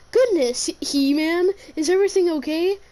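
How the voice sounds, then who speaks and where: This woman uses a put-on character voice pitched extremely high. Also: moderate pace, ordinary pitch variation. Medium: read story.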